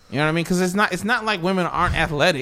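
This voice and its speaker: A man's high-pitched voice in an animated tone with ordinary pitch variation, on a very clean recording against a silent background. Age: 20s. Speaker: comedian. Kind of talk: casual chat.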